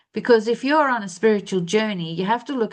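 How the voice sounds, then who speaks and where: Over a quiet background, a woman with an Australian accent speaks at a fairly high pitch. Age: 60s. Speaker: spiritual life coach. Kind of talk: spiritual monologue. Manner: halting with false starts.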